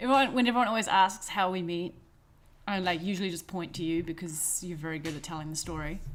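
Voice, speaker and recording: A woman with a fairly low pitch talks very fast, her pitch varying in an ordinary way. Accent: New Zealand. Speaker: podcast co-host. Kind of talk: casual chat.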